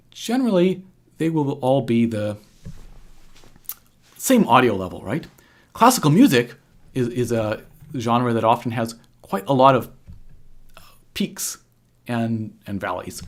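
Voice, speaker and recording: Pausing long and often, a man speaks at a medium pitch with lively intonation. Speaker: harpist and video tutorial host. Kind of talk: tutorial. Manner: halting; gets softer when thinking.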